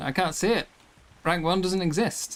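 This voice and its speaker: The speaker has an English accent. The pace is fairly slow. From England. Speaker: streamer. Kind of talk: live gameplay stream.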